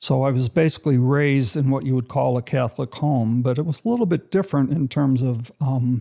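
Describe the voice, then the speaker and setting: With an American accent, a man speaks fairly quickly in a dark, mellow tone at a medium pitch with ordinary pitch variation. His loudness stays very even and he hardly pauses. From US Midwest, Chicago west side. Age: 70s. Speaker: church member sharing testimony. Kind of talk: testimony. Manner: conversational, with fillers.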